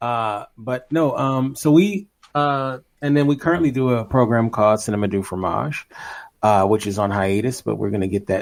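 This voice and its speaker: A man with an unremarkable speaking voice talks at a moderate pace, his pitch varying in an ordinary way. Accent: American. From Los Angeles, California. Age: 30s. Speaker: podcaster and filmmaker. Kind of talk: casual chat.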